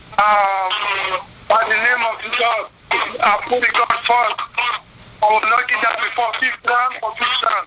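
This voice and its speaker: An extremely high-pitched man in a raised, projected voice, at a fairly slow pace with fairly even intonation, amid noticeable background noise. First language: non-English. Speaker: boxer. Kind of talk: press conference call.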